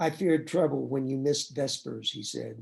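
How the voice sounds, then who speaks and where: Dark and mellow in tone, this man's voice carries vocal fry. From East Tennessee, Appalachia. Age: 70s. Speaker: novelist. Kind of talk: reading aloud.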